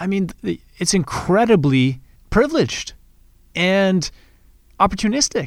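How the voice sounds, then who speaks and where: In a western Canadian accent, a man speaks at a high pitch and a fairly slow pace. His pitch swings very widely, and the recording is very clean with a silent background. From Canada. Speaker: podcast host, real estate investor. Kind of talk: casual monologue. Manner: off the cuff.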